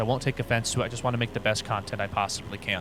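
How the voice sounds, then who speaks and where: With music in the background, a man speaks at a very fast pace with ordinary pitch variation. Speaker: flight instructor and sim YouTuber. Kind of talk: tutorial. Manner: casual.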